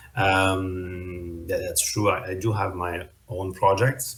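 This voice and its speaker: In a French accent, a man speaks with a very deep, low pitch at a very slow pace. His voice is somewhat breathy. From France. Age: 30s. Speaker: web3 consultant and startup founder. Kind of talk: interview. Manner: hesitant, many fillers.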